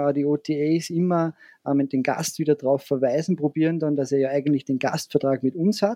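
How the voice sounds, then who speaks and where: In an Austrian accent, a man speaks at a moderate pace with a fairly high pitch, a dark, mellow tone and fairly even intonation. His loudness stays very even, and the sound is dry and close with no echo. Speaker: hotelier. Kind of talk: interview.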